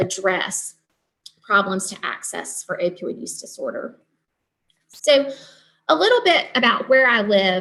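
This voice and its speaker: Speaking with a Southern US accent, a woman moves at a fairly slow pace with long, frequent pauses and big swings in loudness over a quiet background. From Eastern North Carolina. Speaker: nurse practitioner and nursing professor; nursing professor. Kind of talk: lecture. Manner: hesitant with many ums. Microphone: video call.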